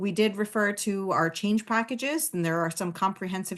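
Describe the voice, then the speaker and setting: A woman speaks with an American accent. Her pace is moderate, and her pitch variation is ordinary. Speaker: webinar host for a child safety program. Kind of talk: webinar closing remarks. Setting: online webinar. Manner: many fillers (um, uh).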